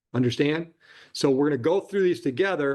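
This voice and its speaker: This man speaks with a fairly high pitch and ordinary pitch variation. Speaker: judge. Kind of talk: courtroom proceedings. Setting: courtroom. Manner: fast.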